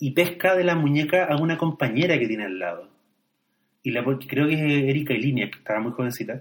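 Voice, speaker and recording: A man speaks at a fairly quick pace with lively intonation. His pitch is fairly high. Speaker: podcast co-host discussing films. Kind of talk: casual chat about films.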